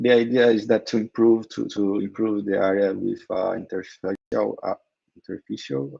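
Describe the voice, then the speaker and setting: A man with a Brazilian Portuguese accent at a moderate pace, in a dry, close sound with no echo. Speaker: crypto company co-founder. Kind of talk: interview. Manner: halting.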